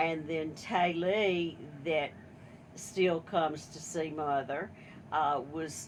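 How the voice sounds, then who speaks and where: A woman with an American accent speaks very slowly in a very deep, low pitch, with long, frequent pauses and big swings in loudness. Her intonation is fairly even, and audible room echo surrounds her voice. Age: 70s. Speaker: family member. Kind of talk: casual chat.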